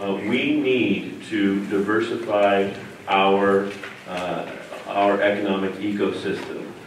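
In an American accent, a man with a fairly low pitch speaks very slowly and with fairly even intonation, with light background noise and audible room echo. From Davis, California; California. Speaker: city council candidate; council candidate. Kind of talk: candidate forum debate. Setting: church hall with live audience.

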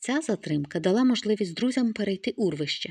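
Lively intonation over plain reading aloud

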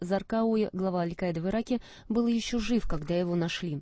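A plain, everyday voice is heard. It moves at a moderate speed. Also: woman. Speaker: newsreader. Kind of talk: news reading. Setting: studio.

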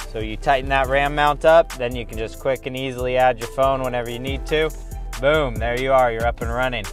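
Music sounds clearly behind him. The speaker is a man. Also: dry sound with no echo. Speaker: truck owner reviewer. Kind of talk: product review tutorial. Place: car. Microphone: camera far.

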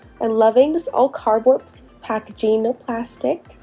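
This woman's voice is high in pitch. Behind her, music plays. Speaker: doll unboxing youtuber. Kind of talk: casual unboxing voice-over. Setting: recorded voice-over. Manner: animated.

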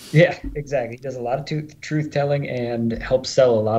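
Here a man speaks in a dark, mellow tone that is somewhat breathy. His pace is moderate. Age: early 40s. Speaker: movie prop firearms supplier. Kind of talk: casual interview chat.

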